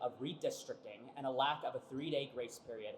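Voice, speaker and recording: A man's fairly high-pitched voice with lively intonation, over noticeable background noise. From Kansas, raised from childhood after immigrating from Mexico. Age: 20s. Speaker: voting rights activist. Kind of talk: rally speech. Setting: indoor rally in capitol rotunda.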